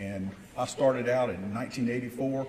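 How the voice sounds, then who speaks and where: A man with an American accent, medium pitch and moderate pace, plus audible room echo. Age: 60s. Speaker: business owner and mayor. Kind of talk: welcome speech. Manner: animated.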